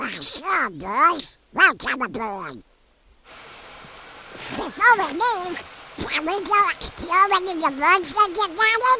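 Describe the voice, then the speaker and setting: A put-on character voice at a very slow pace, broken by long, frequent pauses. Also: man, extremely high pitch for a man. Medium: dub.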